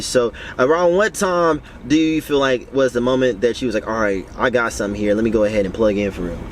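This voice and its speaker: Noticeable background noise sits under this man's voice. He talks fairly quickly at a medium pitch. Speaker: podcast host. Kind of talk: casual interview chat. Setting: in a car at a festival.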